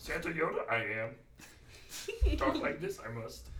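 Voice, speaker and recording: A man's put-on character voice at a fairly slow pace, under loud background noise. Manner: inverted, odd word order, wise.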